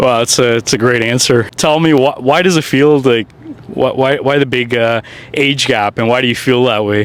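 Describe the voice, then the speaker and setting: Amid noticeable background noise, a man speaks at a moderate pace with very even loudness. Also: medium pitch for a man, ordinary pitch variation. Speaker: street interviewer, channel host. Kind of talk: casual street interview questions.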